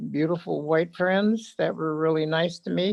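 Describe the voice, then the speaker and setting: With an American accent, a woman speaks in a very deep, low pitch and ordinary pitch variation. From northern California, Blue Lake. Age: 80s+. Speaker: public commenter. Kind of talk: public comment at a meeting. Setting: video call. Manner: halting.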